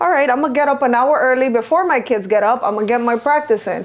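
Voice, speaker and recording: There is noticeable background noise. Over it, a woman speaks in an animated tone. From Venezuela. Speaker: lash artist and business owner. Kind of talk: casual chat.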